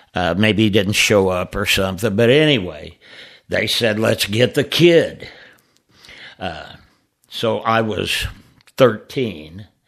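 Very slowly, a man with a fairly low pitch speaks in an American accent. The recording is very clean, with a silent background. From Alton area, US. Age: 70s. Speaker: drummer. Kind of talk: casual chat. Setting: studio.

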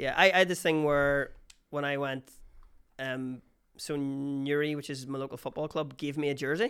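A man with a Northern Irish accent, fairly high pitch, fairly even intonation and a moderate pace. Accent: Northern Irish (Armagh). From Northern Ireland, County Armagh. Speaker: comedian. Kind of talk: casual chat.

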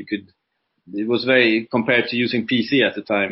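Here a man speaks with a Swedish accent at a fairly quick pace. His pitch is medium and his intonation fairly even. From Sweden. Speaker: entrepreneur and coach. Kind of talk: interview. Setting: video call.

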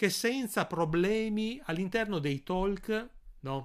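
Lively intonation marks this man's speech, pitched high. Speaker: YouTuber. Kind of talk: unscripted live stream monologue. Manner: informal, hesitant with filler sounds.

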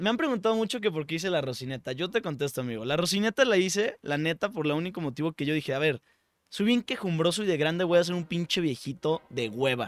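A man with a high voice and a Mexican accent, very fast pace and lively intonation, dry close sound with no echo, and a very clean recording with a silent background. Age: 20s. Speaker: comedy podcast host. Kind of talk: casual comedic chat. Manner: animated.

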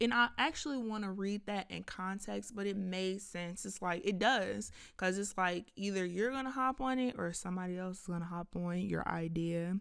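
Her tone is animated, with ordinary pitch variation at a medium pitch for a woman. She keeps a moderate pace with hardly any pauses. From US South, Georgia (Lithonia, near Atlanta). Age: 20s. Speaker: podcast host, content creator and writer. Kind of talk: casual solo monologue.

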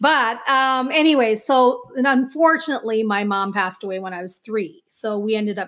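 Using an American accent, a woman talks at a moderate pace and a fairly high pitch, with ordinary pitch variation. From US Midwest, Minneapolis suburb. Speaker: nurse and writer. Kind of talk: casual interview.

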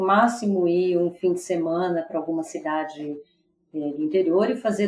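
A moderate pace carries the speech along. Intonation remains fairly even. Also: woman. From São Paulo, Brazil. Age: 50s. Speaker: business executive. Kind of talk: casual interview chat.

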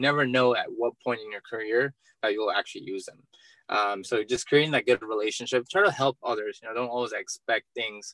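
A man talks at a fairly quick pace with a medium pitch and ordinary pitch variation. He has an unremarkable speaking voice. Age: 20s. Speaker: entrepreneur and real estate investor. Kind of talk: interview.

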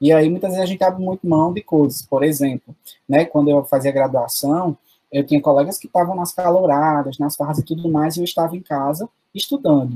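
Pitched fairly high for a man, his dark, mellow voice moves at a fairly quick pace with fairly even intonation in a dry, close sound with no echo. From Paraíba backlands (sertão), Brazil. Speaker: teacher. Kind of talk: interview.

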